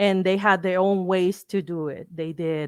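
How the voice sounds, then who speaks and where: A woman with a Spanish accent speaks in monotone, flat intonation, the sound dry and close with no echo over a quiet background. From Mexico. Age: 30s. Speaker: lawyer and fashion enthusiast. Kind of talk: lecture. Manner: halting.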